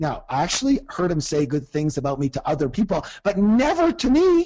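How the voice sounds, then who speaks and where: This man's voice is high for a man and animated in tone. His pitch swings very widely. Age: 60s. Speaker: personal development coach. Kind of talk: coaching seminar.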